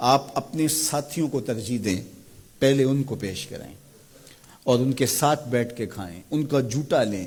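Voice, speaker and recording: A man talks with lively intonation and vocal fry. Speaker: Islamic scholar giving a sermon. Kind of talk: religious sermon (bayan).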